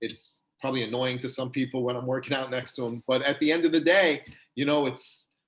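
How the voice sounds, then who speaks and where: A man with a New York accent speaks at a fairly quick pace, his medium pitch carried by fairly even intonation. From New York, Long Island. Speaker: chiropractor. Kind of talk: casual interview chat. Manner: fast; chatty, many fillers.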